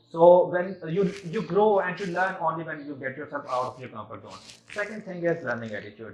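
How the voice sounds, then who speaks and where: A man speaks with lively intonation at a high pitch and a fairly quick pace. His loudness swings widely, and there is noticeable background noise. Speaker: engineering student. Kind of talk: competition speech. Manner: halting.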